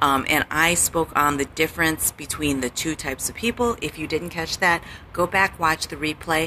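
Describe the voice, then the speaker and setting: A woman's fairly low voice in an American accent, at a moderate pace with ordinary pitch variation, over noticeable background noise. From US Midwest, Chicago. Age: 40s. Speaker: life coach. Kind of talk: live stream talk. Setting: hotel lobby. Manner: soft-spoken.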